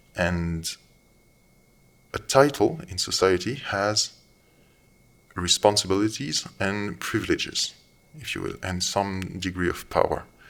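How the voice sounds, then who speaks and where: A man with a non-native accent speaks at a fairly slow pace in a fairly low pitch, with ordinary pitch variation. His delivery has long, frequent pauses and big swings in loudness. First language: not English. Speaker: commentator. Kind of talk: monologue commentary. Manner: halting.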